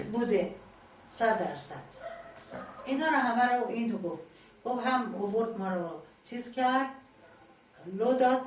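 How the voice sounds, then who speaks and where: A woman's fairly high voice at a fairly slow pace, with long, frequent pauses, ordinary pitch variation and noticeable background noise. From Iran. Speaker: former political prisoner. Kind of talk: interview answer.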